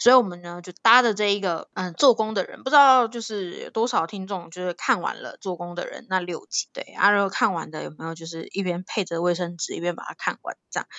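A woman with a plain, everyday voice, medium pitch with ordinary variation, fairly quick pace with hardly any pauses, and big swings in loudness. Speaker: podcast co-host. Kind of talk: casual chat.

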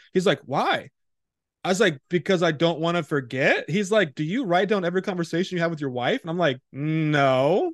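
A man with a high pitch and ordinary pitch variation talks at a fairly quick pace, the sound dry and close with no echo over a quiet background. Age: 30s. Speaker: ministry founder. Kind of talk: testimony.

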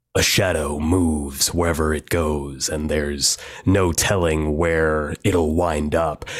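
Someone uses a put-on character voice and speaks at a fairly slow pace. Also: man, very deep, low pitch for a man. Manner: serious, straight-faced.

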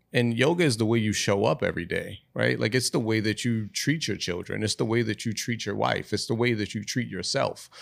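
Using vocal fry, a man with an American accent speaks at a medium pitch and fairly quick pace with ordinary pitch variation, in a very clean recording with a silent background. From Baltimore, Maryland. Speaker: yoga practitioner, wellness advocate. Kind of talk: casual chat. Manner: halting, many fillers.

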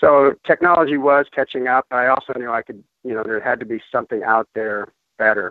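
This is an ordinary speaking voice with an American accent. The pace is fairly quick. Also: man. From Colorado, US. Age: 50s. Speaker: ultramarathon runner sharing a product testimonial. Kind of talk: testimony.

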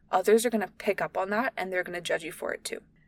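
The recording has a dry, close sound without any echo. A woman rushes along at a very fast pace. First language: not English. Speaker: podcast host. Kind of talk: solo podcast monologue. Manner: casual, chatty.

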